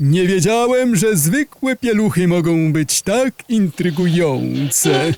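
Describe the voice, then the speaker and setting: A man puts on a character voice, pitched high. He goes at a fairly slow pace with hardly any pauses. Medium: audio drama.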